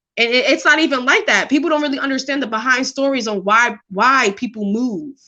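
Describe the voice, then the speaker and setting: Speaking in a New York accent, a woman uses a raised, projected voice at a fairly quick pace. Her pitch is high, with ordinary variation and a bright, sharp tone. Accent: New York (Bronx). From New York City, the Bronx. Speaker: live stream host. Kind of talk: casual chat. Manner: loud.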